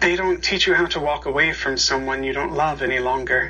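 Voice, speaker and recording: A man at a moderate pace, against noticeable background noise. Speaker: worship leader. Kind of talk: liturgy and reading aloud.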